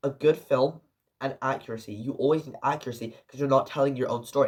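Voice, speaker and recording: This man's voice sits at a fairly high pitch and comes across somewhat breathy. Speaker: film reviewer. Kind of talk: casual video review. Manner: halting, with self-corrections.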